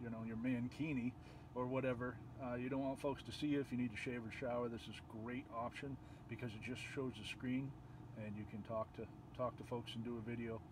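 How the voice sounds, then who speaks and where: Against noticeable background noise, a man at medium pitch talks at a fairly quick pace in a monotone, flat intonation. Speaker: video tutorial creator. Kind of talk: tutorial. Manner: mumbling; soft-spoken.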